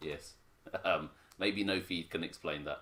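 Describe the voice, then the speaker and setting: A man with an English accent speaks at a fairly slow pace. His tone is bright and sharp. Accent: very English, Queen's English. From Hong Kong. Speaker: parent co-host. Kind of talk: casual livestream chat.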